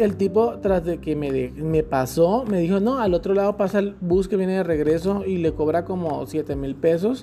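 The animated voice moves at a moderate pace with hardly any pauses as music plays in the background. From Colombian Caribbean coast (Magdalena). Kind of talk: casual chat. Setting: outdoors by a pool.

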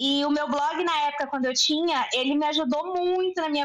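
Her tone is bright and sharp, with ordinary pitch variation. The woman speaks at a moderate pace. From Brazil, Belo Horizonte (Minas Gerais). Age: 20s. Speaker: journalist and business owner. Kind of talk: casual interview chat.

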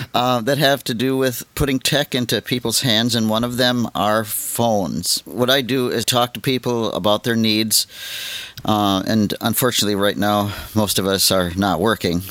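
Here a man talks in an unremarkable speaking voice. He keeps a moderate pace with ordinary pitch variation. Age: 60s. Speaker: podcast host and assistive technology trainer. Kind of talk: casual chat.

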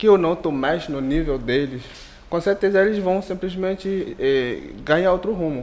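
A man speaks at a moderate pace. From Benin. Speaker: entrepreneur and doctoral student. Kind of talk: casual chat.

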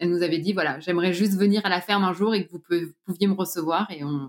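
A woman speaks at medium pitch. She goes at a very fast pace. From Normandy, France. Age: 30s. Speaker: organic farmer and entrepreneur. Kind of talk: interview testimony.

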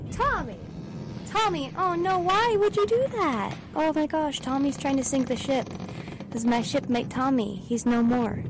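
Through noticeable background noise, a high-pitched woman speaks at a moderate pace with very wide pitch swings and very even loudness. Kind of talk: sarcastic college radio DJ patter, bantering on air between songs. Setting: studio.

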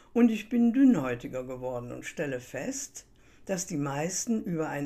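Her pitch very deep and low yet swinging very widely, a woman speaks at a fairly slow pace in a dark, mellow tone. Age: 80s+. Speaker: coach and podcast host. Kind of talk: scripted monologue.

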